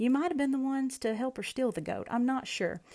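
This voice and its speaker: The voice has a dark, mellow tone and is heard in a Southern US accent. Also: woman, very clean recording, silent background. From US South. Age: 30s. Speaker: podcast host and rancher. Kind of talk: casual monologue.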